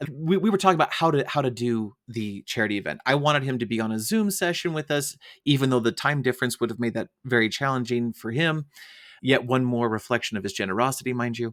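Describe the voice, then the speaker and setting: Very fast and with lively intonation, a man speaks at a medium pitch. The recording is very clean, with a silent background. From United States. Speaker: podcast host. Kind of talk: interview.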